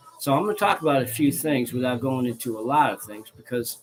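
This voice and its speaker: A man speaks at a fairly quick pace with a medium pitch and an American accent. Music plays in the background. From US Midwest, northern Illinois. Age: 60s. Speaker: religious leader. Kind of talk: casual monologue. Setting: studio. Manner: many fillers (um, okay, right).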